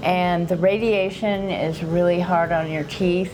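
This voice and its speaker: Speaking very slowly at a fairly low pitch, a woman keeps her intonation fairly even amid audible room echo and noticeable background noise. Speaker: dental patient. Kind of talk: testimonial interview.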